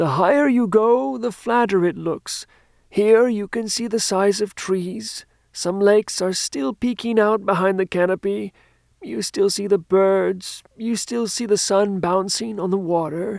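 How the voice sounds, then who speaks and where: Using a put-on character voice, a woman speaks at medium pitch and a moderate pace. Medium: read story. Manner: warm, gentle.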